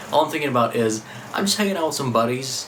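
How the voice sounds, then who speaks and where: A man's speech comes with audible room echo and noticeable background noise behind it. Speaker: vlogger. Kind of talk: vlog monologue.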